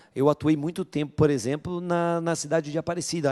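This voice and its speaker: Speaking at a moderate pace in an interior São Paulo accent, a man has a fairly high voice with a dark, mellow tone. The sound is dry and close with no echo, in a very clean recording with a silent background. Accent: interior paulista accent (caipira r). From interior of São Paulo state, Vale do Paraíba (Guaratinguetá). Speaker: police chief. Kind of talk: panel discussion.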